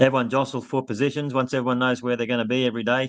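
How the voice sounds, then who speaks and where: Speaking at a very fast pace with an Australian accent, a man keeps a monotone, flat intonation at medium pitch, with a dry, close sound with no echo and a quiet background. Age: 60s. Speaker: election candidate. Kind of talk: casual interview.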